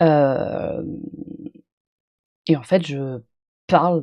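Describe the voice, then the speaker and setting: A woman's very deep, low voice in a dark, mellow tone, with ordinary pitch variation and a dry, close sound with no echo. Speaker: streamer reacting to own video. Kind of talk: live stream reaction chat.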